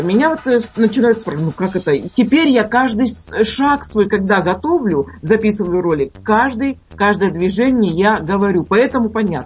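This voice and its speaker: Noticeable background noise sits behind this moderately paced speech. The pitch swings very widely. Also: woman. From Urals, Russia. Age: 60s. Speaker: cooking video blogger and chef. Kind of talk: radio interview.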